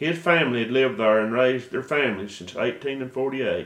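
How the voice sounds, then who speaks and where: With an unremarkable speaking voice, a man at a medium pitch talks at a moderate pace using lively intonation. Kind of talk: video introduction.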